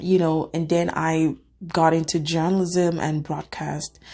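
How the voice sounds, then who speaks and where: A woman with an African accent is heard on a very clean recording with a silent background. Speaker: cybersecurity analyst and video creator. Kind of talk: reaction video monologue. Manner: conversational, with fillers.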